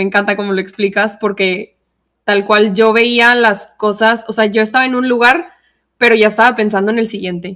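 In a very clean recording with a silent background, a woman with a Mexican accent talks at a fairly quick pace, her fairly high voice keeping a fairly even intonation. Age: 20s. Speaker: podcast co-host, engineer and tap dancer. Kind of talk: casual chat. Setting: studio.

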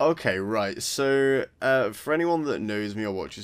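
The recording is very clean, and the background is silent. His intonation rises and falls in a lively way as the man talks. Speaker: podcast co-host. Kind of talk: casual chat. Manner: halting.

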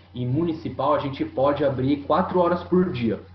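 At a moderate pace and with lively intonation, a man talks while noticeable noise fills the background. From São Paulo state coast, Brazil. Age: 30s. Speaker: skate shop owner. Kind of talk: casual interview chat.

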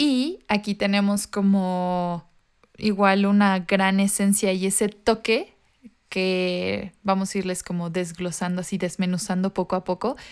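A woman talks in a normal speaking voice at a medium pitch. Her pace is fairly slow and her intonation fairly even. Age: 20s. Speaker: podcast co-host. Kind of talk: casual chat. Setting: video call.

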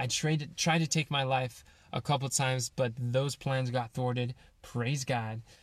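Somewhat breathy male voice, medium in pitch, with fairly even intonation at a moderate pace, on a very clean recording with a silent background. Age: 20s. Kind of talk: personal reflection monologue. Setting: in a van.

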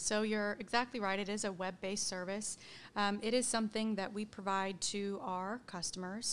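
An ordinary speaking voice with an American accent moves at a fairly quick pace with fairly even intonation on a very clean recording with a silent background. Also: woman. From Oklahoma, US (Edmond). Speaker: employee benefits director. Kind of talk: interview.

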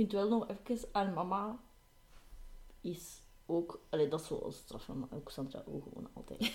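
With lively intonation and big swings in loudness, a woman speaks at a fairly slow pace with long, frequent pauses, her medium-pitched voice somewhat breathy with a dark, mellow tone. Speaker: podcast co-host. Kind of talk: casual chat.

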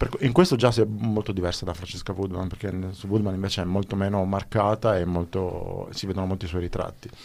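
Pitched fairly low, a man speaks at a fairly quick pace. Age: 50s. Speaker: radio host. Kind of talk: radio interview. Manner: halting.

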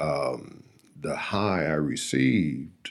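A man talks at a very slow pace. His very deep, low pitch carries vocal fry. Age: 60s. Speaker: AA speaker sharing recovery story. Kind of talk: testimony. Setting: studio.

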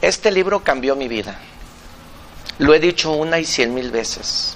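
A man with a Mexican accent sounds animated, with lively intonation. Noticeable background noise runs underneath. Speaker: business coach and live-stream host. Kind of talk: live-streamed interview show. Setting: café.

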